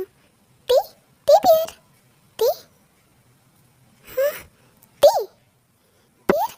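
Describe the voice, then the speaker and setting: This put-on character voice is squeaky and pitched extremely high. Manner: shouting.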